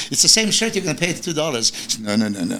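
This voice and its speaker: Amid noticeable background noise, a man with a non-native accent talks at a very fast pace with lively intonation. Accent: foreign. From Serbia. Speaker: bodybuilding coach. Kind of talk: casual interview chat.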